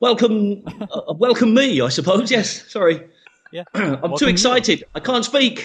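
A man with an English accent uses a raised, projected voice and a playful tone, moving fairly slowly through very wide pitch swings. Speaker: returning podcast guest. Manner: playful, joking.

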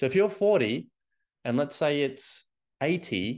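A man with an Australian accent and vocal fry, fairly slow, with very wide pitch swings against a quiet background. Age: 30s. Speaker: fitness coach. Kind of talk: solo podcast monologue. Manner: animated.

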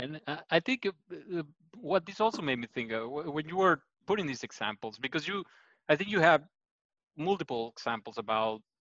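A man's voice with a bright, sharp tone swings very widely in pitch at a moderate pace. He leaves long, frequent pauses. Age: 30s. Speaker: psychologist and channel host. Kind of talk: interview. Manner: halting.

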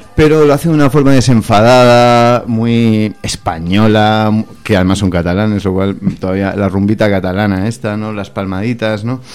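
Moderate-paced male speech, fairly low in pitch, ordinary in pitch variation, over noticeable background noise. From Catalonia, Spain (Barcelona). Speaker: chef and restaurant owner. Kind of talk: radio interview. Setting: radio studio.

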